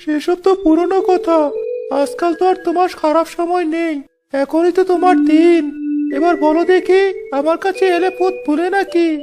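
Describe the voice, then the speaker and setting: The voice is cartoonish, like a character's. Its pitch is extremely high and its tempo moderate. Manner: mocking, haggling.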